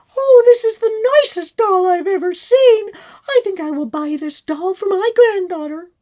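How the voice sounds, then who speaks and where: Squeaky and extremely high-pitched, a woman's put-on character voice rises and falls with lively intonation. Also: moderate pace. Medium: read story.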